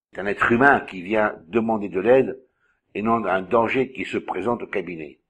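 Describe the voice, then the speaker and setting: An unremarkable speaking voice from a man, fairly low in pitch with ordinary pitch variation, moderate pace and big swings in loudness against a quiet background. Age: 60s. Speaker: magnetic healer and trainer. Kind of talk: monologue answering a viewer's questions.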